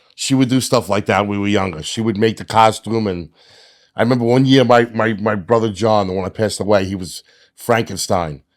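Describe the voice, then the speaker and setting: With a New York accent, a man talks at a fairly quick pace and fairly low pitch with ordinary pitch variation, in a very clean recording with a silent background. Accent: New York City. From New York City (Staten Island). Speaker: podcast co-host. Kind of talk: casual chat.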